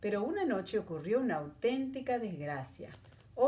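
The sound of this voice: A reading voice, unforced and easy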